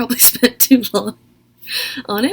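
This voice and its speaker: A woman is speaking. Her voice is quiet. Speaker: video essayist. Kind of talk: casual commentary video essay.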